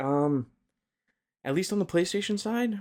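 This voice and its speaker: A man speaks quietly on a very clean recording with a silent background. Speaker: podcast co-host. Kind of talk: casual chat. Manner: hushed.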